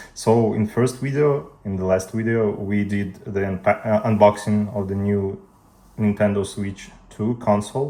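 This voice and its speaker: A fairly low, dark, mellow male voice with a Russian accent, fairly even intonation and a fairly slow pace, in a very clean recording with a silent background. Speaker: tech youtuber. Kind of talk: tutorial.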